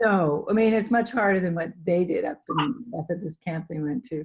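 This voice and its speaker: Somewhat breathy, a woman speaks at a fairly low pitch and a moderate pace. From Canada. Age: 60s. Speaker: adventurer, solo traveller. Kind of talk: interview answer.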